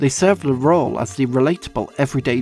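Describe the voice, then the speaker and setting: A man at medium pitch and moderate pace, with music in the background. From Yorkshire, England. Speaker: film video essayist. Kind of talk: film video essay narration.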